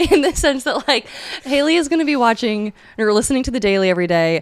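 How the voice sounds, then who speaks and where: A woman's very fast speech with very wide pitch swings, over noticeable background noise. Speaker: podcast co-host. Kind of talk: casual chat.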